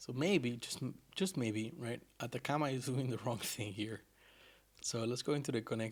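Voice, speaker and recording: A man speaks at medium pitch with a slight non-native accent and ordinary pitch variation. He leaves long, frequent pauses. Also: moderate pace. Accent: slight non-native accent, worked on. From Argentina. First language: Spanish. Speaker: programmer streamer. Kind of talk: live coding stream chat. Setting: live stream. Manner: casual, self-correcting.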